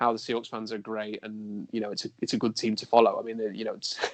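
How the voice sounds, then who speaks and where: With a South Yorkshire accent, a man talks at a very fast pace in a dry, close sound with no echo. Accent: English, Rotherham (South Yorkshire). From England, Rotherham. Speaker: sports journalist and blogger. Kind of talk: podcast interview.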